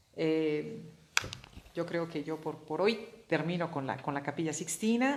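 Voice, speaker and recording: A woman with a very deep, low pitch speaks at a fairly slow pace with ordinary pitch variation and long, frequent pauses. Noticeable background noise and audible room echo surround her voice. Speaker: art history speaker. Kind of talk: informal lecture. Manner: halting, many repeated words.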